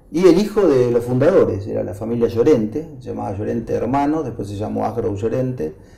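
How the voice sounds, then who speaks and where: A man speaks at a fairly quick pace with hardly any pauses. Noticeable background noise and audible room echo are present. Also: big swings in loudness. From Argentina, Buenos Aires city. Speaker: agronomist and agribusiness association president. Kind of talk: interview. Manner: hesitant, filler-heavy.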